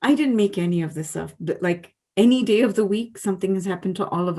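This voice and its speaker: A woman speaks very fast with ordinary pitch variation. Her tone is dark and mellow. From India. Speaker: storyteller. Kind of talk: interview. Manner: loud; animated.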